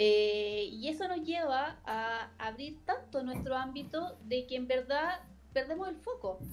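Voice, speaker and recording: Over noticeable background noise, a woman with a high pitch and lively intonation speaks at a very slow pace. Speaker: lawyer. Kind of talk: casual chat.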